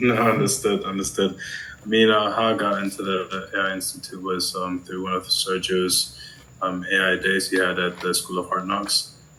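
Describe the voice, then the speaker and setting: A man with a German accent speaks with a very deep, low pitch and fairly even intonation. His pace is moderate, and there is noticeable background noise. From Germany. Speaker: prospective client, business consultant. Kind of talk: sales call. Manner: hesitant, many fillers.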